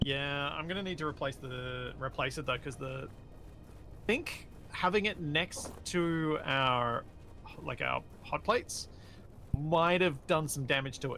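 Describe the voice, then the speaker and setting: With a Sydney accent, this man talks at a fairly slow pace in a fairly high pitch and a bright, sharp tone. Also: ordinary pitch variation. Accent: mild Sydney Australian. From Sydney, Australia. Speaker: video game streamer. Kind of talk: casual chat during live gaming stream.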